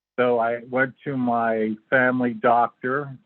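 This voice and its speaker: The speaker is a man with a medium-pitched voice. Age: 60s. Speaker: interview guest sharing illness story. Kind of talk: interview testimony. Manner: halting.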